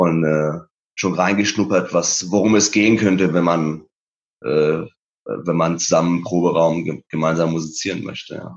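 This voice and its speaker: A man with a very deep, low pitch keeps his intonation fairly even. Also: moderate pace. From Iran, Isfahan and Tehran; moved to Germany at eleven. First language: Persian (speaking German). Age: 30s. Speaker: painter and musician. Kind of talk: interview about his life story. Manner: hesitant with many fillers.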